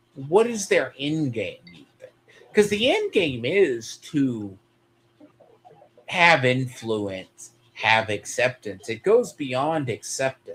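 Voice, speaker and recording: A man with an American accent speaks at a very slow pace and a fairly high pitch. His loudness shifts a lot, and his pitch swings very widely. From Texas, US. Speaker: streamer. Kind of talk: casual chat.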